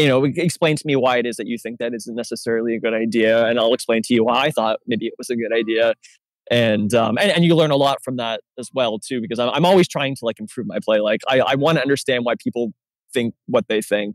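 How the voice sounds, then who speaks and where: In a dry, close sound with no echo, a man speaks at a very fast pace. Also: medium pitch for a man, ordinary pitch variation. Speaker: board game player, masterclass guest. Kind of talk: casual discussion. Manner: halting, many fillers and restarts.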